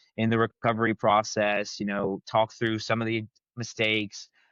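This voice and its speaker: This man's voice sits at a mid-range pitch. The intonation is monotone and flat. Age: 20s. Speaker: high school football coordinator. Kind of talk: podcast interview.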